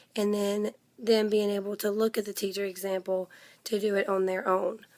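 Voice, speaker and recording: Intonation here is monotone and flat. The pace is fairly slow. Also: woman. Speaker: graduate education student. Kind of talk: recorded class response. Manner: hesitant, many ums.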